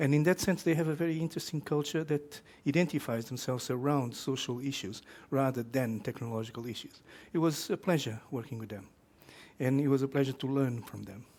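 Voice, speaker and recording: With a Portuguese accent, a man speaks in a fairly high voice with ordinary pitch variation. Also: fairly quick pace, very clean recording, silent background. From Portugal. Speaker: professor. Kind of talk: lecture. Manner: halting, with many fillers.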